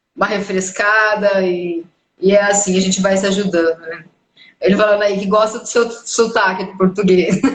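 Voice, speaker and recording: A woman at medium pitch and moderate pace, monotone and flat in intonation, with big swings in loudness. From Brazil. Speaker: live stream host. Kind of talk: casual live interview chat.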